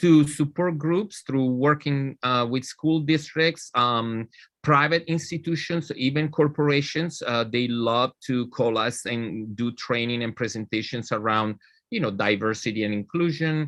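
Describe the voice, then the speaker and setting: With an Italian accent, a man speaks at a fairly slow pace. His medium pitch has ordinary variation. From Italy. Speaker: nonprofit leader. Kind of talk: interview.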